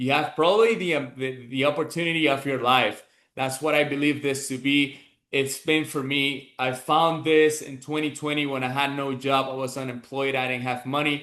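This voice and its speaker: Against a quiet background, a man with a Venezuelan accent talks at a moderate pace in a fairly high pitch, with a bright, sharp tone and fairly even intonation. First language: Spanish. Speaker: business mentor. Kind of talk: motivational talk. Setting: online group call.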